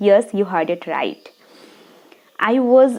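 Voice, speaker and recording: A woman is speaking. She has a Bengali accent. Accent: Indian (Bengali). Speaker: video blogger. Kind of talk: personal story to camera.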